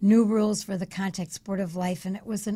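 Somewhat breathy delivery at a moderate pace. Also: woman. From Chicago, US. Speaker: speech coach and author. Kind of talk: radio interview, storytelling. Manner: animated, energetic.

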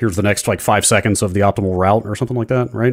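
On a very clean recording with a silent background, a man with a fairly low pitch speaks very fast and with fairly even intonation. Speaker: podcast co-host. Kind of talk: casual chat.

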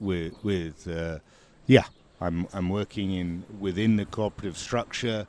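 A man speaks very slowly in a very deep, low voice with a dark, mellow tone. His intonation stays fairly even against a quiet background. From England. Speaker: winemaker. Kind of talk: interview.

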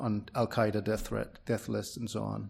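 Recorded very cleanly against a silent background, a man speaks with a Danish accent. He keeps a moderate pace. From Denmark. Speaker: free speech campaigner. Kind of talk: interview.

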